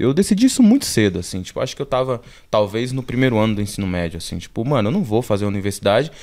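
The voice moves through very wide pitch swings on a very clean recording with a silent background. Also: man. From Brazil, Alagoas (Northeast), moved to São Paulo at 14. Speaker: visual artist. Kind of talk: casual interview.

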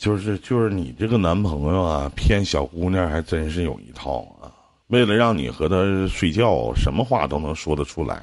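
Over a quiet background, a man with a very deep, low pitch talks at a moderate pace in an animated tone with lively intonation. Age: 30s. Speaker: radio host giving relationship advice. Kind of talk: live call-in advice show.

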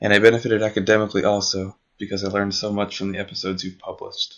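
Speaking very fast in a fairly low, monotone voice, a man talks with an American accent. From United States. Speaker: listener, Arabic learner. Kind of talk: recorded listener message.

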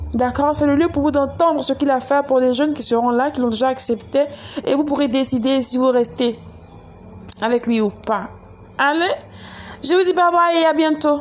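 A woman talks at a high pitch and moderate pace, with ordinary pitch variation and very even loudness. Long, frequent pauses break up her speech amid noticeable background noise. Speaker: church youth event promoter. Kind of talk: event announcement. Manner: animated.

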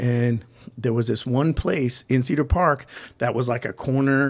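With an American accent, a man speaks in an ordinary speaking voice at a medium pitch and moderate pace, keeping a fairly even intonation. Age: 40s. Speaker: gym owner and podcast host. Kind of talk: casual chat.

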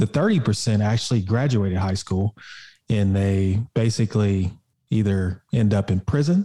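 A man with an American accent speaks at a fairly slow pace, his pitch fairly low and varying in an ordinary way. His tone is dark and mellow, and somewhat breathy. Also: very clean recording, silent background. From Oklahoma (Muskogee). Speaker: entrepreneur and fitness coach. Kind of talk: casual interview chat.

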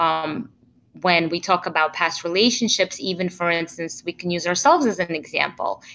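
A woman with a fairly low voice and a bright, sharp tone speaks at a moderate pace with ordinary pitch variation. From immigrated to the US in 1992. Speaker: relationship coach. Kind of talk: interview.

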